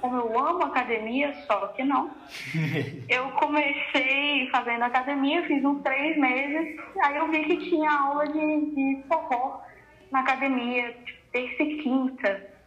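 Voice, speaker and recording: Amid audible room echo, a woman speaks at a fairly slow pace and a high pitch with ordinary pitch variation. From Brazil, Paraná (Jacarezinho). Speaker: ballroom dance teacher and DJ. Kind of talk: casual chat.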